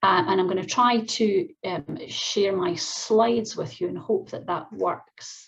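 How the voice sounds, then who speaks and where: A woman with a Scottish accent, speaking with hardly any pauses. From Scotland, Glasgow. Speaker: professor. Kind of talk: keynote lecture. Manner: fast when excited.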